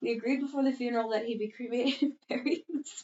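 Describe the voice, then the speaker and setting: A soft-spoken woman with a high pitch and a very fast pace. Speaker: podcast co-host reading posts. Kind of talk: reading aloud. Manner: fast, sometimes mumbling.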